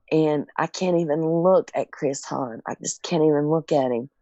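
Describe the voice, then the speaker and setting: A woman with a Southern US accent talks at a fairly slow pace. Her pitch is very deep and low. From Tennessee. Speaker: caregiver. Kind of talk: testimony.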